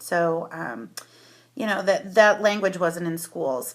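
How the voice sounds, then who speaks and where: A bright, sharp tone at a moderate pace, with ordinary pitch variation, in a very clean recording over a silent background. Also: woman. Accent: American. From US Northeast, Connecticut, Fairfield County. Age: 30s. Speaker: social worker. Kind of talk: personal testimony. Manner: hesitant, many fillers.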